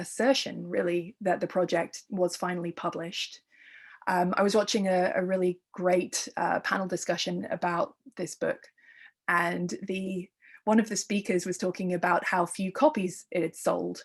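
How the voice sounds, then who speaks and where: Speech in an English accent moves at a moderate pace with fairly even intonation. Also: woman, medium pitch for a woman. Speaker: art historian and curator. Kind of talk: lecture. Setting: virtual talk.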